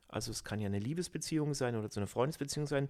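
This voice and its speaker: The man's tone is animated. The recording is very clean, with a silent background. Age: 50s. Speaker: podcast host and personal growth coach. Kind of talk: casual chat.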